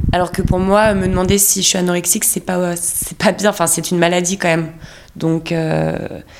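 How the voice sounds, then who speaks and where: The speaker goes at a fairly quick pace in a monotone, flat intonation against noticeable background noise. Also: woman, fairly low pitch for a woman. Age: 30s. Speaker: theatre actress. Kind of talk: casual chat.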